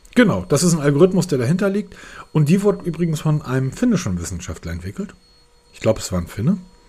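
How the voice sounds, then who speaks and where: Over noticeable background noise, a man talks very fast at a fairly high pitch with very wide pitch swings. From northern Germany, Hamburg. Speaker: tech podcast host. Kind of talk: casual chat.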